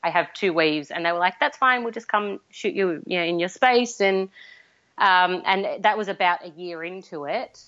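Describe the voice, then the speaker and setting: A woman in an Australian accent, with a medium pitch, ordinary pitch variation, and a moderate pace. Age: 30s. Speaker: fiber artist. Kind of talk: interview.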